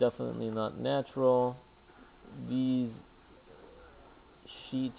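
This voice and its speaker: A man is speaking. His pace is very slow. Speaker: video blogger. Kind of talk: screen-share commentary.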